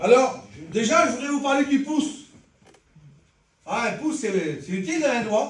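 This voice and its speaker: There is audible echo in the room. A man's voice carries through it. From French Traveller community. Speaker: lay preacher. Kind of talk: sermon. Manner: fast.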